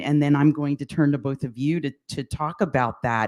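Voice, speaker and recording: In a very clean recording with a silent background, a woman with an American accent talks at a moderate pace in a very deep, low pitch. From Lehigh Valley, Pennsylvania. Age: 60s. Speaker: panel moderator. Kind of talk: panel discussion. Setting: live panel event, livestreamed.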